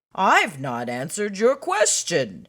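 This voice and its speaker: A fairly slow, middle-pitched put-on character voice. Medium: read story.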